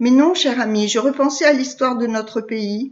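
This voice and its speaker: A woman speaks in a put-on character voice pitched high. Her pace is moderate. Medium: read story. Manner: polite, composed.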